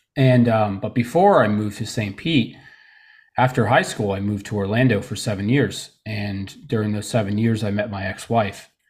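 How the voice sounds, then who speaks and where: A somewhat breathy voice speaks at a moderate pace on a very clean recording with a silent background. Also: man, fairly low pitch for a man, fairly even intonation. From Florida (Tarpon Springs area), born in Trenton, New Jersey. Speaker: men's coach and summit organizer. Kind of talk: interview, personal testimony.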